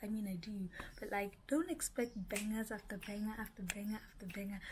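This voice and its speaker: A woman's pitch varies in an ordinary way, with light background noise behind her. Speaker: vlogger. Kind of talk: casual vlog chat. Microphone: phone near.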